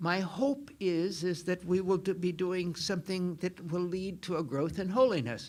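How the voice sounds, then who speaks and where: A man's high-pitched voice at a moderate pace. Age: old. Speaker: Jesuit priest and theology professor. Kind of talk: lecture. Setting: lecture hall with audience, microphone. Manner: halting.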